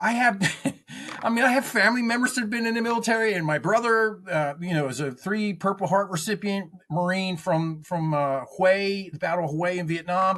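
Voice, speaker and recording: Over noticeable background noise, a man speaks fairly quickly at a high pitch with ordinary pitch variation. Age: 60s. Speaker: Marine veteran and consultant. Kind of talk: interview. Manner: halting, many repetitions.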